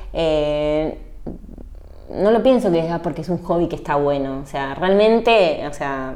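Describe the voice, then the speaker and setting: With a Rioplatense accent, a woman speaks fairly slowly at a fairly low pitch, her tone dark and mellow, her intonation lively, with audible room echo. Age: 30s. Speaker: lawyer and book influencer. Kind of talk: casual interview.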